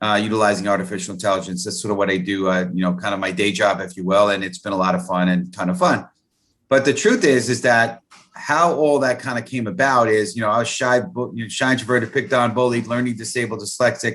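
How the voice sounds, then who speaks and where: Very fast and with lively intonation, a man of medium pitch speaks with an American accent. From New York City (the Bronx). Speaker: networking consultant. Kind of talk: interview. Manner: halting.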